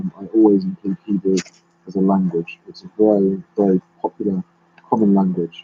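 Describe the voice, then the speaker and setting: With a British accent, a man speaks at a moderate pace, his pitch swinging very widely. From London, England. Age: 30s. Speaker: YouTuber. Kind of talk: live stream chat. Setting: live stream. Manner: halting.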